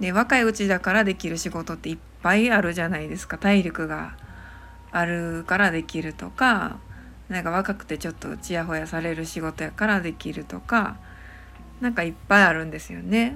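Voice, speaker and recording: With a Kansai accent, a woman talks at a moderate pace, her loudness swinging widely. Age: 30s. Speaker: podcast host, acupuncture and massage therapist. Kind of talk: casual solo talk.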